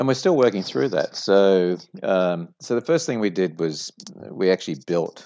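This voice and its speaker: Here is a man with an Australian accent. He talks at a moderate pace. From Sydney, Australia. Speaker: franchise company executive. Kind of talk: interview.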